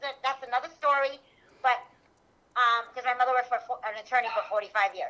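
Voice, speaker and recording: A woman speaks in a New York accent, with a high pitch. Her voice is raised and projected. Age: 50s. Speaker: animal rescuer. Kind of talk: testimony. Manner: fast, rambling with restarts.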